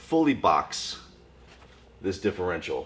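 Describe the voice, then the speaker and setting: A man's hoarse, raspy, put-on character voice. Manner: explanatory, casual.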